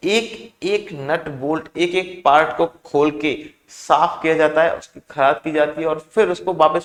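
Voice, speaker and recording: The man speaking shows ordinary pitch variation. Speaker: engineering teacher. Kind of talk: lecture. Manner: conversational, asks rhetorical questions.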